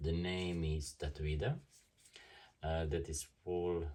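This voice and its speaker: Speaking with a non-native accent, a man with a very deep, low pitch and ordinary pitch variation talks at a fairly slow pace in a very clean recording with a silent background. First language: German. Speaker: tattoo artist reviewing equipment. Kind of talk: product review and unboxing. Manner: halting, many fillers.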